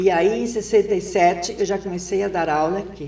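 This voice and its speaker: A woman at medium pitch talks with fairly even intonation as noticeable background noise fills the recording. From southern Brazil, Rio Grande do Sul. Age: 70s. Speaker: retired teacher and former education secretary. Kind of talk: interview.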